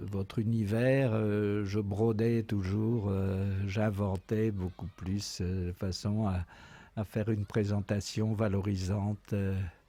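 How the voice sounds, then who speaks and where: Very slow and very even in loudness, a man's fairly low, dark, mellow voice stays monotone and flat in a very clean recording with a silent background. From Brittany, France (Daoulas, Brest area). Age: 80s+. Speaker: retired museum association president. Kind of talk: interview, childhood memories. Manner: hesitant, many fillers.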